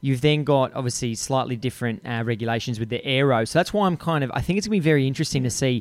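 In an Australian accent with ordinary pitch variation, the voice comes through in a dry, close sound with no echo on a very clean recording with a silent background. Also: man. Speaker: podcast host. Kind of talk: casual interview chat. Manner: filler-heavy, stumbling.

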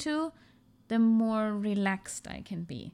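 Speaking at a very slow pace with a German accent, a woman shows ordinary pitch variation on a very clean recording with a silent background. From Germany, half Iranian. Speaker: podcast guest. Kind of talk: casual chat.

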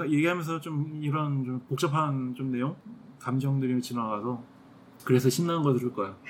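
A man's bright, sharp voice at a moderate pace, with ordinary pitch variation. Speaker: podcast co-host. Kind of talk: casual chat.

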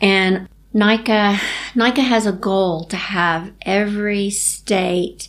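This woman speaks with a Southern US accent. Her pitch is medium. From Tennessee, Chattanooga. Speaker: endurance cyclist with MS. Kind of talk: interview.

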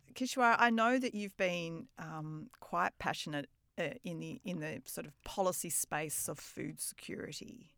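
In a very clean recording with a silent background, a woman with an Australian accent speaks at a fairly low pitch and a fairly slow pace with lively intonation. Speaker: podcast host. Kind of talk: interview conversation.

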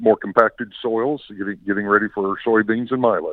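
A man speaks in an ordinary speaking voice with an American accent. His pitch is fairly low, his intonation fairly even, and his pace moderate. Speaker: farmer caller. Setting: phone call.

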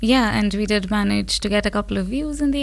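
Noticeable background noise fills the recording. Over it, a woman speaks at a fairly quick clip. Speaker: student association member. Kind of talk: casual interview. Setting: studio.

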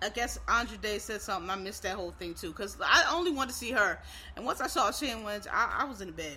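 At a very fast pace, a woman talks at a medium pitch with lively intonation. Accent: American. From Philadelphia, US. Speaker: podcast host. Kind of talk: casual podcast monologue. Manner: casual, informal, hurried.

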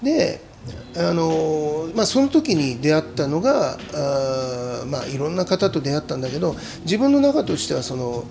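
Noticeable background noise behind a fairly slow delivery. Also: man. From Aichi, Japan (Chita Peninsula, Tokoname). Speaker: chef. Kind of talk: casual chat.

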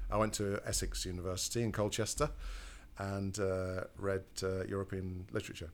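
Speaking at a moderate pace, a man uses a fairly low pitch with monotone, flat intonation. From Lincolnshire coast, England. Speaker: music industry manager. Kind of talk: casual interview.

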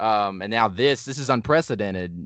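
A man with an American accent speaks at a fairly quick pace in a fairly low pitch with ordinary pitch variation against a quiet background. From Indianapolis, US Midwest. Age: 20s. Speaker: spiritual researcher. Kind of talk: casual interview. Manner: halting, many fillers.

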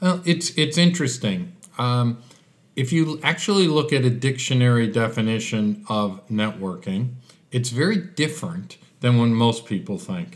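In an American accent, this speaker keeps a moderate pace while the pitch swings very widely. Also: man, medium pitch for a man. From Chicago, US. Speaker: business networker, guest. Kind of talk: casual interview.

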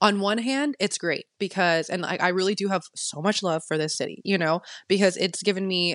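A woman with a normal speaking voice talks at a fairly quick pace in a medium pitch with ordinary pitch variation. The sound is dry and close with no echo, over a quiet background. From military family, moved often; teen years in Texas. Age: 20s. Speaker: photographer and social media manager. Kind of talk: casual interview chat. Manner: chatty, many fillers.

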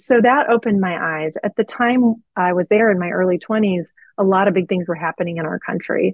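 A woman speaks at a fairly quick pace with a US Midwestern accent and ordinary pitch variation. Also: medium pitch for a woman. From Missouri, US. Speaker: political strategist and consultant. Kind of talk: interview.

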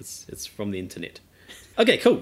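Very wide pitch swings run through the speech of this man. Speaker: film podcast co-host. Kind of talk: casual chat.

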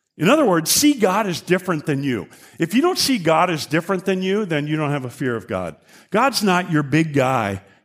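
In a very clean recording with a silent background, a man with a high pitch speaks at a fairly quick pace, his pitch swinging very widely. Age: 60s. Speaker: guest preacher. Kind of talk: sermon. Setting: church. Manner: halting.

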